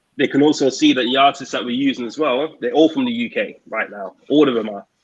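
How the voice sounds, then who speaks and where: A man with a British accent talks at a very fast pace, his medium pitch showing ordinary variation. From UK. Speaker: record label owner. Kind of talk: interview.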